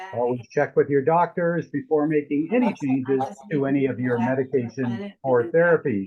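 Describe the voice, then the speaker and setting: The voice belongs to a man, a plain, everyday voice. He speaks at a moderate pace with ordinary pitch variation. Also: fairly high pitch for a man. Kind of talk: podcast host introduction.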